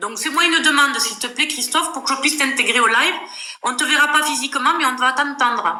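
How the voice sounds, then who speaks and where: Projecting her voice, a woman talks very fast at a high pitch with ordinary pitch variation, and the room echo is audible. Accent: Toulouse. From southern France, Toulouse area. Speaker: live stream host. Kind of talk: casual live chat. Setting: live video stream.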